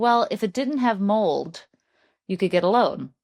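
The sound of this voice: A female-sounding, husky put-on character voice delivers its lines at a moderate pace with a fairly high pitch.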